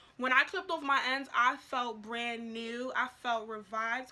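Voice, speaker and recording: A woman's raised, projected voice, bright and sharp in tone, at a fairly slow pace. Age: young. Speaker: natural hair vlogger. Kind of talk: casual talk to camera.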